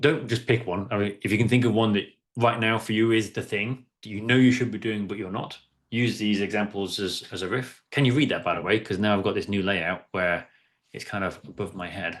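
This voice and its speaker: A man's fairly low voice carries fairly even intonation. The background is quiet. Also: fairly quick pace. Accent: English. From East of England. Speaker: workshop facilitator. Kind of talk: interactive workshop. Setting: video call.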